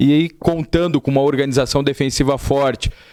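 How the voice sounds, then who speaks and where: Fairly quick and at a medium pitch, a man talks in an unremarkable speaking voice, with a dry, close sound and no echo. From Florianópolis, southern Brazil. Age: 20s. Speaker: football head coach. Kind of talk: TV interview.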